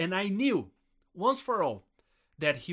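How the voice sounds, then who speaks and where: Very wide pitch swings mark a man's high voice with a Brazilian accent, on a very clean recording with a silent background. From southern Brazil. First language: Portuguese. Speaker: missionary pastor and podcast co-host. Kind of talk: personal testimony in a casual chat.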